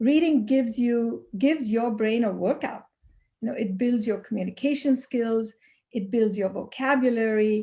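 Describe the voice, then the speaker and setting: A woman with a Pakistani accent speaks at a moderate pace with a fairly high pitch, ordinary pitch variation, and a dark, mellow tone in a very clean recording with a silent background. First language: Urdu. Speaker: HR consultant. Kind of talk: motivational talk to students.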